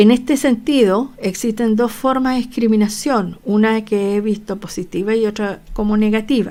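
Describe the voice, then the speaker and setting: A woman talks at a fairly high pitch with fairly even intonation. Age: 60s. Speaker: nurse lecturer. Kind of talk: online lecture. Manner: hesitant, many fillers.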